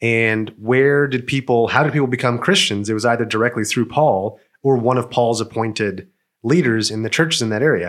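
The man has a plain, everyday voice with a medium pitch. He moves at a fairly quick pace, with ordinary pitch variation. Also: very clean recording, silent background. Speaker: podcast co-host. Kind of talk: casual chat.

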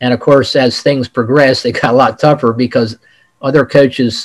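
At a moderate pace, a man with an unremarkable speaking voice uses fairly even intonation, recorded with a dry, close sound with no echo. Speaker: football coach. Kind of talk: interview.

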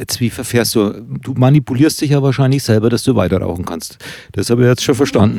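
With a dark, mellow tone and medium pitch, a man talks at a fairly quick pace using ordinary pitch variation. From Oberkotzau, Upper Franconia. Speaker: podcast host and author. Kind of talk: casual chat. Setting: recorded at guest's home.

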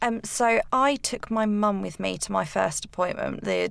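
Speaking at a moderate pace, a woman talks with an English accent. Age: 20s. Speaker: cancer patient guest. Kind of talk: interview. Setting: studio.

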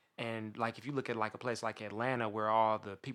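With an ordinary speaking voice, a man of medium pitch talks with an American accent and fairly even intonation in a very clean recording with a silent background. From US Midwest, Kansas City, Missouri. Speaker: podcast guest. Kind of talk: casual chat.

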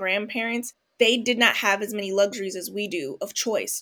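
Animated in tone, a woman talks at a fairly quick pace. Her pitch is fairly high. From Los Angeles, US West Coast. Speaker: psychologist and professor. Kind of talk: casual interview.

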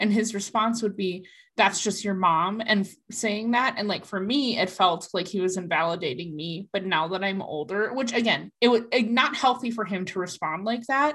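A woman with an American accent talks at a medium pitch and a moderate pace, with hardly any pauses. Her pitch variation is ordinary, and the recording is very clean with a silent background. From US Midwest, Minnesota. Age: 20s. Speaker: guest sharing personal story. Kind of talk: testimony.

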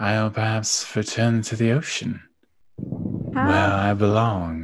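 Using a put-on character voice, a man speaks at a very slow pace and fairly low pitch on a very clean recording with a silent background. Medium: actual play. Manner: sly, teasing, creepily playful.

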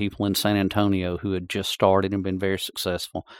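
A man with a north Georgia accent speaks fairly quickly in a flat monotone at a fairly low pitch, the sound dry and close with no echo in a very clean recording with a silent background. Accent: Southern US (north Georgia). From US South. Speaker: EMS chief and paramedic. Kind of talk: interview.

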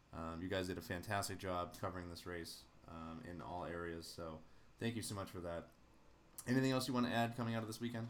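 A man's very deep, low pitch, ordinary pitch variation, and a very fast pace. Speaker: podcast host. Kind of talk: casual chat.

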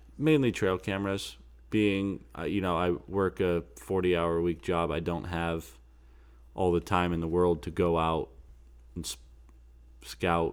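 A man with a very deep, low pitch speaks at a fairly slow pace, leaving long, frequent pauses. His pitch variation is ordinary, and the recording is very clean with a silent background. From Pennsylvania. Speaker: hunting podcast host. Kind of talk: casual chat.

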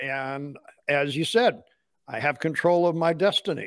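A high-pitched man at a fairly slow pace, with ordinary pitch variation. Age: 60s. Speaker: podcast host. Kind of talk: casual interview chat. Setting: classroom, video call.

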